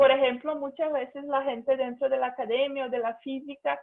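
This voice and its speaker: High-pitched woman with a Portuguese accent and fairly even intonation. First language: Portuguese (speaking Spanish). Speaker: physicist, invited speaker. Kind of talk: talk in online seminar. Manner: halting.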